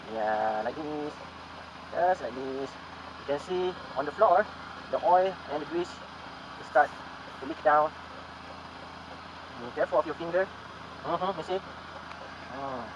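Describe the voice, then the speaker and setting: Over noticeable background noise, a man speaks at a fairly high pitch and a moderate pace, with ordinary pitch variation, big swings in loudness and long, frequent pauses. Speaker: motovlogger. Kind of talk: tutorial.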